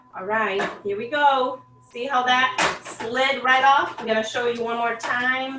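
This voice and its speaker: Amid audible room echo and music in the background, a woman speaks fairly slowly in a high voice with fairly even intonation. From Brazil, Salvador (Bahia). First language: Portuguese. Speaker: home cook. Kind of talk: cooking demonstration. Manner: casual, instructive.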